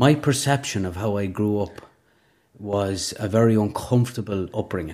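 In an Irish Midlands accent, a man speaks at a moderate pace with a fairly low pitch, a dark, mellow tone and ordinary pitch variation. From Ireland, rural Westmeath. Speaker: recovering alcoholic. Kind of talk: testimony.

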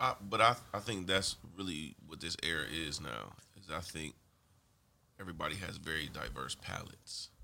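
With an American accent, a man talks at a moderate pace in a very deep, low voice with vocal fry and a bright, sharp tone. His intonation is lively, and his loudness swings widely. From Ohio, Akron. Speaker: rapper. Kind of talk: interview.

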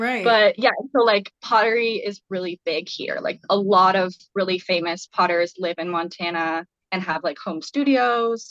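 With an American accent, a woman talks in a normal speaking voice at a medium pitch and moderate pace, with ordinary pitch variation. The sound is dry and close, with no echo. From Idaho. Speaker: ceramic artist. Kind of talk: casual interview.

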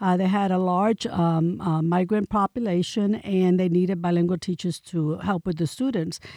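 With a Spanish accent, a woman talks at a moderate pace and medium pitch in a dark, mellow tone, with hardly any pauses. Her intonation is fairly even and her loudness very even, in a dry, close sound with no echo. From New York City (Bronx), Puerto Rican family. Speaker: county commissioner. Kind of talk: interview.

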